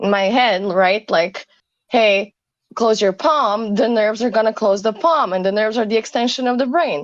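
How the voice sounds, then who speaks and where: Speaking at a moderate pace with a non-native accent, a woman keeps her loudness very even, her pitch fairly high and its variation ordinary. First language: not English. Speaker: caller in debate. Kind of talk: casual philosophical debate. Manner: halting, searching for words.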